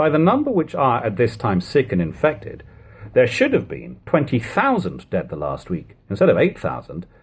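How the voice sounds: A man puts on a character voice at medium pitch with a slightly husky edge. He moves at a moderate pace, his pitch swinging very widely.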